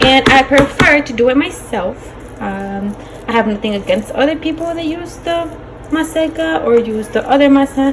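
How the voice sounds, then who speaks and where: The speech moves at a moderate pace with lively intonation. Noticeable background noise runs underneath. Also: woman, high pitch for a woman. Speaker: cooking vlogger. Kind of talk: cooking tutorial. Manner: casual, chatty.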